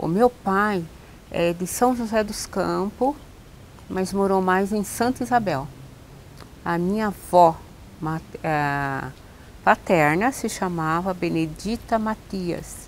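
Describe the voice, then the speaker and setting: Speaking very slowly with long, frequent pauses, a woman keeps a medium pitch with ordinary pitch variation. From Brazil, São Paulo state interior (Jundiaí/Louveira). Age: 70s. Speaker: oral history interviewee. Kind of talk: oral history interview.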